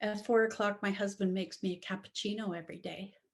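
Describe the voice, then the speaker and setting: A woman speaks at a fairly quick pace. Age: 60s. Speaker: love relationship coach and author. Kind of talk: interview. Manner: halting.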